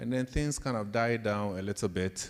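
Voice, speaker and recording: With a Ghanaian accent, a man speaks at a moderate pace in a fairly low pitch with ordinary pitch variation. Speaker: professor. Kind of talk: leadership talk to students.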